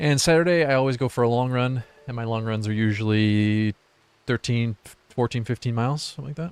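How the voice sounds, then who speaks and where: A man with an American accent talks at a fairly quick pace, medium in pitch with ordinary pitch variation. It is a normal speaking voice, recorded dry and close with no echo. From US Midwest, Michigan. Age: 30s. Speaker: video game streamer. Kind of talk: casual live-stream chat with gameplay commentary.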